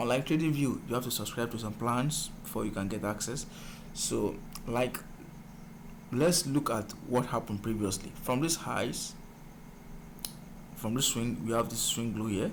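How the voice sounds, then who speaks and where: A man speaks at a moderate pace and medium pitch with ordinary pitch variation. Long, frequent pauses break his speech, and the room echo is audible. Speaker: forex trading mentor. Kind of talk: tutorial.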